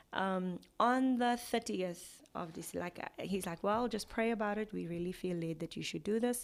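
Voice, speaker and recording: A woman talks with a South African accent at a moderate pace, with hardly any pauses. Her pitch is medium with ordinary variation, in a very clean recording with a silent background. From South Africa, Mpumalanga. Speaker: gospel singer. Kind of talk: interview.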